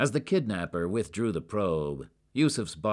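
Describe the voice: A plain read-aloud delivery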